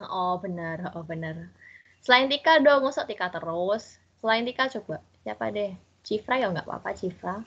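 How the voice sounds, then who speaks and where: A woman talks at a moderate pace in a medium pitch. Her pitch swings very widely and her loudness rises and falls sharply. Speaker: student teacher. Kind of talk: online class lesson. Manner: casual, conversational.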